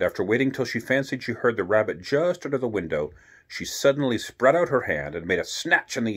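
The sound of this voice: Lively intonation in an unforced reading voice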